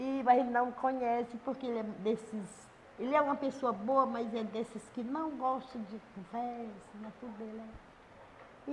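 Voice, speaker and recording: A high-pitched woman, fairly slow, with ordinary pitch variation. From Brazil, Ceará (Guaiúba). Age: 70s. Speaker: local community figure. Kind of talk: interview.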